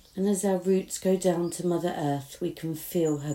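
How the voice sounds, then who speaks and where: With a British accent, a woman speaks in a dark, mellow tone that is soothing and gentle. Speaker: meditation guide. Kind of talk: guided meditation. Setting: outdoors in a garden summer house with birdsong. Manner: soothing, slow and gentle, with long calming pauses; warm, reassuring, hushed.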